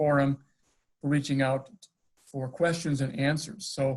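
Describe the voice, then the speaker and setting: At a moderate pace, a man speaks in a somewhat breathy, fairly high voice with fairly even intonation. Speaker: school superintendent. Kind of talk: webinar presentation.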